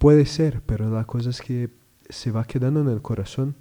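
A dark, mellow tone comes with intonation that stays fairly even. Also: man. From southern Brazil, Rio Grande do Sul. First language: Portuguese (speaking Spanish). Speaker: religious brother working at a school. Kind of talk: radio interview. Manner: halting, frequent repetitions.

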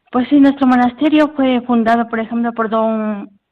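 This is a woman with a normal speaking voice, pitched fairly high, using fairly even intonation. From Peru. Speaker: cloistered nun. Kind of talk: interview testimony. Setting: phone call.

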